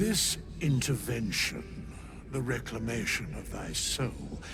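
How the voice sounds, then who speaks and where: A man in a cartoonish character voice over loud background noise. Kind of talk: archaic formal speech. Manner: measured, solemn.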